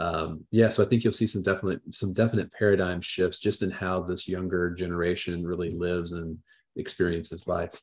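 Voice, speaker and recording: In an American accent, a man with a very deep, low pitch talks at a fairly quick pace with fairly even intonation against a quiet background. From southern Indiana, US Midwest. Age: 40s. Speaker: financial planner. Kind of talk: interview.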